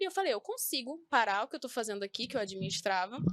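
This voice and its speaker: With a dry, close sound and no echo, the speaking runs at a fairly quick pace. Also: woman. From northern Brazil, Belém (Pará). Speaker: beauty professional, eyebrow micropigmentation. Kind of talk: podcast talk show interview.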